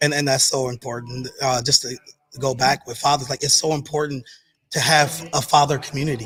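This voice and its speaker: A man's fairly high pitch in a monotone, flat delivery at a fairly quick pace, music in the background. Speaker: business owner and father, clothing line and food truck. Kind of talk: casual chat. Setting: live pop-up podcast at a business expo. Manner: fast.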